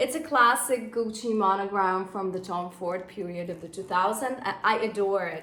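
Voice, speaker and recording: A woman with a non-native accent talks at a moderate pace with hardly any pauses, in a medium pitch with ordinary pitch variation and big swings in loudness. Noticeable background noise and audible room echo fill the recording. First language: not English. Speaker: fashion vlogger. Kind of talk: casual vlog review.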